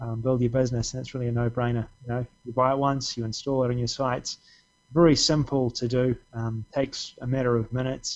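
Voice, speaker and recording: A man with an Australian accent, medium-pitched and fairly quick. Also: quiet background. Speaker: software creator; guest. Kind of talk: casual chat. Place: home room. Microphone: video call.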